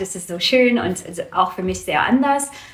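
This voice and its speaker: The speaker has an English accent and ordinary pitch variation. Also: woman. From Canada, Vancouver. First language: English (speaking German). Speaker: small business owner, wool seller. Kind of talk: interview. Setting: at guest's home. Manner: halting, many fillers.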